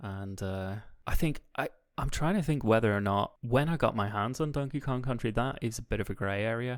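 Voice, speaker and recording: A man with a Northern Irish accent, medium pitch, ordinary pitch variation and a fairly quick pace, on a very clean recording with a silent background. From Northern Ireland. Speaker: podcast co-host or guest. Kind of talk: casual chat. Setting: call.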